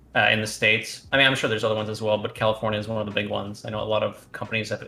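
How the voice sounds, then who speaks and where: A man talking very fast, in a flat monotone. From Canada, moved from Romania as a child. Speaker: esports player and streamer. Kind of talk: interview.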